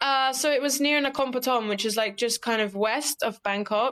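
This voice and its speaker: A woman with an American accent speaks at a fairly quick pace on a very clean recording with a silent background. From UK. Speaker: scuba diving instructor. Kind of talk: casual interview chat. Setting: podcast interview.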